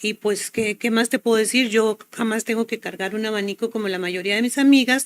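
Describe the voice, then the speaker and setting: The voice belongs to a woman. It sits fairly high in pitch. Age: 60s. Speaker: health product promoter. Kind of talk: testimony.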